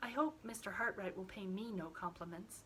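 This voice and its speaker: A soft-spoken, put-on character voice with lively intonation comes through over clear background noise. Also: woman, medium pitch for a woman, fairly quick pace. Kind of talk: bedtime story. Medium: read story. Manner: soft, simple, earnest.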